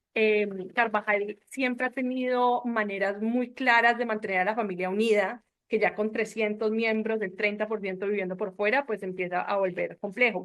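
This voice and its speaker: A woman speaks at a moderate pace in an unremarkable speaking voice, her fairly high pitch moving in fairly even intonation. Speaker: family business board member. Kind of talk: panel discussion.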